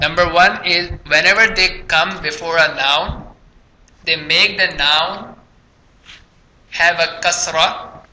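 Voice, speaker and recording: At a very slow pace, a man talks in a high pitch, with audible room echo and noticeable background noise. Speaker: Arabic grammar teacher. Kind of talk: lecture.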